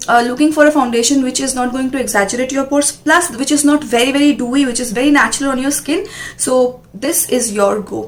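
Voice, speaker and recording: A woman speaks at a high pitch with ordinary pitch variation. Noticeable background noise runs underneath. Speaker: beauty vlogger. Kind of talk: product review. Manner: fast.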